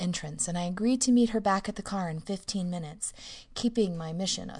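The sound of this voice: An unforced reading voice carries the clip.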